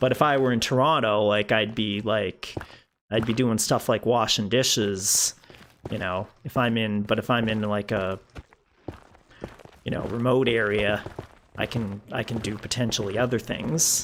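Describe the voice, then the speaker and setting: Fairly low-pitched man at a moderate pace, with fairly even intonation and long, frequent pauses. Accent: Canadian Maritime. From Canada, rural Prince Edward Island (Maritimes). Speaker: gaming streamer. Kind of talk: casual live-stream chat. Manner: hesitant, many fillers.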